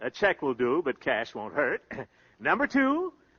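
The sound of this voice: A man puts on a character voice at a medium pitch with very wide pitch swings. He goes at a fairly slow pace with a slightly husky edge.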